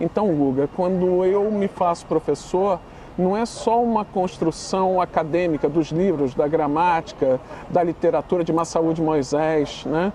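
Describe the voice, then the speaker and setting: A man with a northeastern Brazilian accent speaks fairly slowly in a high pitch, with ordinary pitch variation and very even loudness. Noticeable background noise runs underneath. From Brazil, Northeast. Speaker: literature teacher. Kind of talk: podcast interview. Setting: studio, on camera. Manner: casual, animated.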